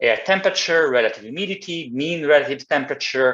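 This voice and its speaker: A man speaks with an Italian accent at a fairly quick pace. His pitch varies in an ordinary way. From Italy. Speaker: climate engineer. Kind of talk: presentation. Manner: halting.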